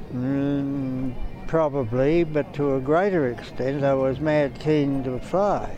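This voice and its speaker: A man with an Australian accent speaks at a very slow pace and fairly high pitch. His intonation is fairly even, and noticeable background noise can be heard. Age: 90s. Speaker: war veteran. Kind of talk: interview. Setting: outdoors at a parade.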